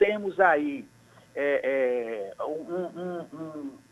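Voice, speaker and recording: A man speaks with lively intonation in a high pitch. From Paraíba, Brazil (Guarabira). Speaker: politician, mayoral candidate. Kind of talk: radio interview. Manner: halting, with repetitions.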